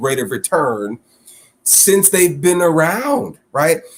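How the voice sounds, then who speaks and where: A man with an American accent talks at a moderate pace, his intonation lively. He has an unremarkable speaking voice. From Chicago area, US Midwest. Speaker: financial literacy coach. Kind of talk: interview conversation.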